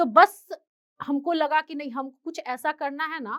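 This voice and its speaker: The recording sounds dry and close, with no echo. A high-pitched woman is speaking. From Bihar, Patna. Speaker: independent news reporter. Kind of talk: motivational talk.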